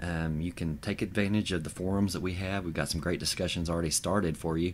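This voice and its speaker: A man with a very deep, low voice talks at a very fast pace with fairly even intonation. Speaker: podcast host and website co-founder. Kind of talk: podcast monologue promoting a website. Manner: filler-heavy, informal.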